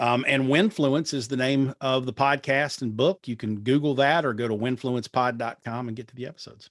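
Against a quiet background, a man with an unremarkable speaking voice talks at a moderate pace and medium pitch, with ordinary pitch variation. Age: 50s. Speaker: digital marketing strategist. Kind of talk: interview.

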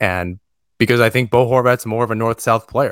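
Heard in a very clean recording with a silent background and a dry, close sound with no echo, a man uses an ordinary speaking voice with fairly even intonation at a fairly quick pace. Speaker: podcast host. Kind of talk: casual chat.

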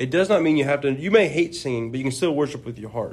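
Here a man has an ordinary speaking voice at a medium pitch. His intonation is lively. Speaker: preaching student. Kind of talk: religious discussion.

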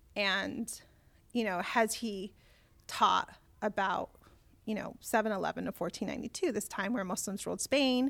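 A woman with an American accent, a fairly high pitch, ordinary pitch variation and long, frequent pauses in a very clean recording with a silent background. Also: moderate pace. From Southern California. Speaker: community organizer. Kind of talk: interview.

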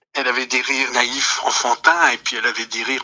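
A man talking at a fairly quick pace. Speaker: interviewee commenting on the subject. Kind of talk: recorded interview testimony. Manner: reflective, hesitant with repetitions.

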